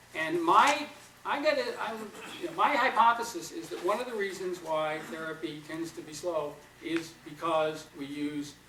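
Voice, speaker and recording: A man's speech carries audible echo from the room along with noticeable background noise. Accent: slight New York. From New York. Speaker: psychotherapy trainer. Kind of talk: lecture.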